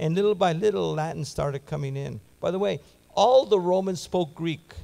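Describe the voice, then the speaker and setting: A man with a high pitch and a dark, mellow tone speaks at a moderate pace. His intonation is lively. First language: Spanish. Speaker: Bible teacher. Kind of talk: sermon.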